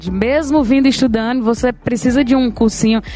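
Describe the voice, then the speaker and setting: Amid noticeable background noise, a woman speaks at a fairly quick pace. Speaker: singer. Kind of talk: casual chat.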